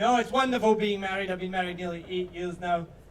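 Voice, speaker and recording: The pitch varies in an ordinary way. Room echo is audible. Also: man. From Scotland. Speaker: stand-up comedian. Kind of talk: stand-up. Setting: stage with audience.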